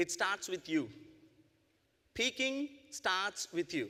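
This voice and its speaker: In an Indian accent, a man with a high pitch uses a raised, projected voice, a bright, sharp tone and lively intonation at a fairly slow pace. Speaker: network marketing business owner and speaker. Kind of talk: motivational presentation. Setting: convention stage with audience. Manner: animated.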